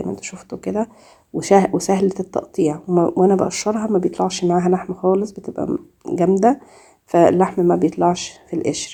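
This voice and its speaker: Speaking at a fairly quick pace, a woman keeps her intonation fairly even. Her voice is medium in pitch, with a dark, mellow tone. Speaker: cooking YouTuber. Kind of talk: cooking tutorial. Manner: halting, many fillers.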